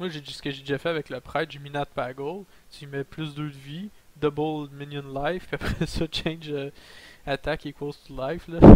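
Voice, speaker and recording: A man speaks at a moderate pace in a fairly high pitch, his intonation flat and monotone. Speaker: gaming YouTuber. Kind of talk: gameplay commentary.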